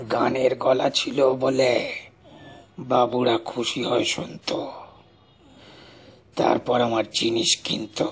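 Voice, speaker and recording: Quiet and raspy, a man uses a put-on character voice at a medium pitch and a very slow pace. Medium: read story.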